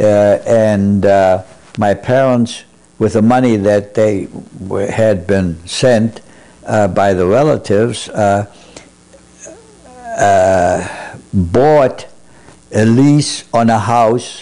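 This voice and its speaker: Very slow and marked by long, frequent pauses, a man's fairly low voice holds a very even loudness over noticeable background noise. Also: ordinary pitch variation. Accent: German. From Germany, Berlin. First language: German. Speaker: Holocaust survivor. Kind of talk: oral history interview. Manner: halting, many fillers.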